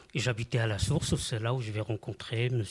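A man's somewhat breathy voice at medium pitch, moderate pace and ordinary pitch variation. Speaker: mosaic artist and art therapist. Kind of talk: radio interview. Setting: studio.

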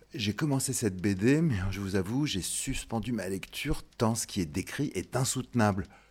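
A man with a normal speaking voice talks at a moderate pace and medium pitch, with ordinary pitch variation. The recording is very clean against a silent background. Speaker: radio show host. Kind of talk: radio documentary narration.

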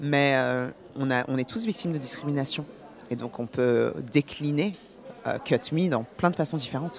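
A woman with a very deep, low pitch talks at a moderate pace, pausing long and often. Noticeable background noise runs underneath. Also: ordinary pitch variation. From France, born in Paris. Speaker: actress and film producer. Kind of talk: radio interview.

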